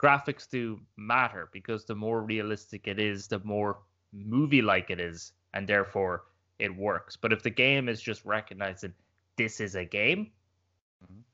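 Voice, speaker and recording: A man with a fairly low pitch talks at a moderate pace, with big swings in loudness and ordinary pitch variation. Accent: Irish. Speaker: gaming podcast co-host. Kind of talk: casual chat.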